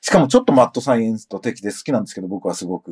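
Spoken at a very fast pace, the voice sounds dry and close with no echo, on a very clean recording over a silent background. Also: man. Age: 50s. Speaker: podcast host and music producer. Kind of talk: solo news commentary podcast. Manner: casual, conversational.

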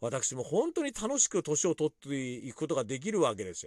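In a very clean recording with a silent background, a man's fairly high voice comes through with a dry, close sound and no echo. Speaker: podcaster and club DJ. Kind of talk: casual monologue.

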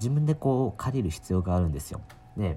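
The intonation here is lively. It comes from a man with a somewhat breathy voice. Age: 20s. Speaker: solo podcaster, university student. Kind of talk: casual solo monologue. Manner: hesitant, many fillers.

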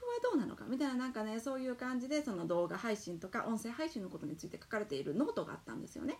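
A woman speaks at a very fast pace, her fairly high pitch swinging very widely. Noticeable background noise sits behind her. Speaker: podcast host, entrepreneur mom. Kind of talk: solo talk monologue. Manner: loud, animated.

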